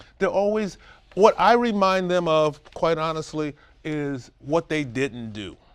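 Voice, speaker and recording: A man with a New York accent, fairly high-pitched, animated, with lively intonation, big swings in loudness and a fairly slow pace. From Brooklyn, New York. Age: 60s. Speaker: Alzheimer's caregiver and businessman. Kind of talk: interview.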